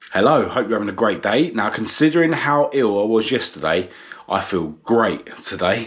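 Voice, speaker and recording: Using lively intonation, a man with a southern English accent speaks at a moderate pace in a medium pitch. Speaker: vlogger. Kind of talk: casual vlog talk to camera. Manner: hesitant, many fillers.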